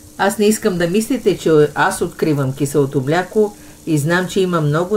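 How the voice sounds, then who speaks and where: With lively intonation and a moderate pace, a woman's speech comes through noticeable background noise. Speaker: cooking channel host. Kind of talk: casual cooking talk to camera.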